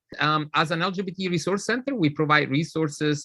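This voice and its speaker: A man speaks with an Italian accent in a bright, sharp tone and ordinary pitch variation. The background is quiet. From Italy. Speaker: nonprofit leader. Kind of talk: interview.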